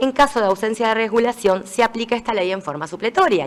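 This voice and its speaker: A woman's fairly high voice races along at a very fast pace, its pitch varying in an ordinary way. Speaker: judge and law speaker. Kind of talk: lecture.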